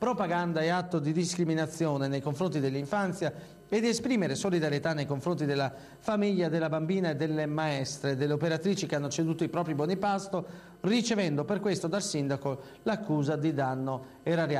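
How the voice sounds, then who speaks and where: Very fast speech from a man with a fairly high pitch. His loudness is very even and his pitch varies in an ordinary way. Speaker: TV news journalist. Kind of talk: local TV news bulletin read.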